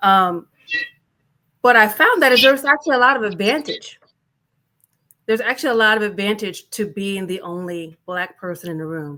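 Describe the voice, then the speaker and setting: A woman at a medium pitch speaks with lively intonation and big swings in loudness, broken up by long, frequent pauses. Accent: slight Southern US. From US South. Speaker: panelist, business leader. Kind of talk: panel discussion. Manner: fast.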